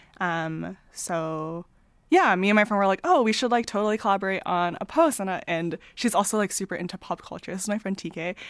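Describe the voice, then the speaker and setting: A woman with a Canadian accent, medium pitch and ordinary pitch variation, at a fairly quick pace, on a very clean recording with a silent background. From small-town Ontario, Canada. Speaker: comic artist and data analyst. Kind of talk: interview conversation. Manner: hesitant, many fillers.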